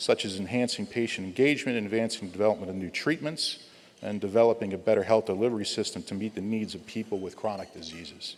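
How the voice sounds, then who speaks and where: A man speaks at a very fast pace with a fairly low pitch, ordinary pitch variation and big swings in loudness. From New Jersey. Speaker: pharmaceutical company executive. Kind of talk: speaker introduction. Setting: stage with audience. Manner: halting.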